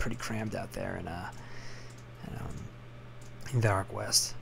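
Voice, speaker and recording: A man whispers quietly. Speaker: gaming commentator. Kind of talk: game commentary. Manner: whispered, quiet.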